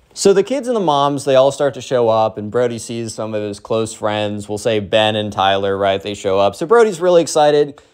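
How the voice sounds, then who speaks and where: Talking at a fairly quick pace with hardly any pauses, a man uses a normal speaking voice at medium pitch with ordinary pitch variation. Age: 20s. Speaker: storytime youtuber. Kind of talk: storytelling. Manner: casual, slangy.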